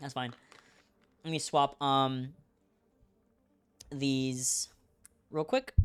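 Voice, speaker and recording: Very slow speech broken by long, frequent pauses. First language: Spanish. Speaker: esports caster. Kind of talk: live commentary. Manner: casual, hesitant with fillers.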